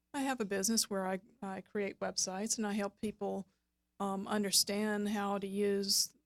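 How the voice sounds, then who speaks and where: A woman's flat, monotone delivery at a moderate pace, with a Southern US accent and a dry, close sound free of echo. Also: medium pitch for a woman. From US South, South Georgia. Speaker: web designer and business coach. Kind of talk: radio interview.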